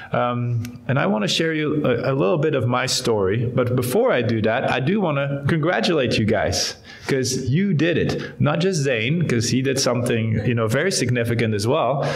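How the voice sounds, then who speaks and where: Faint music plays behind a man speaking at a moderate pace, his medium pitch showing ordinary variation and his loudness very even. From Belgium. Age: 30s. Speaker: guest. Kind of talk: testimony. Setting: church. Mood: warm, conversational. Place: church. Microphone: podium.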